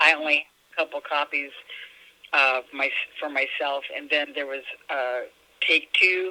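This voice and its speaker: With an American accent, a woman speaks in a very deep, low pitch and a monotone, flat intonation, leaving long, frequent pauses over noticeable background noise. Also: moderate pace. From US West Coast, California. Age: 60s. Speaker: author and musician. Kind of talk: interview.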